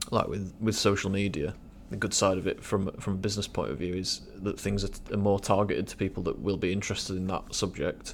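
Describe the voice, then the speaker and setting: A man's very fast speech in a British accent, fairly low in pitch, with fairly even intonation. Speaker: podcast host. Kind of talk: casual chat. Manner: hesitant, filler-heavy.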